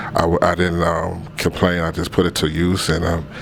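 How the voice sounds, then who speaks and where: Amid noticeable background noise, a man speaks at a moderate pace in a very deep, low pitch with monotone, flat intonation. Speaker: clothing business owner. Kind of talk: interview answers. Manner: halting.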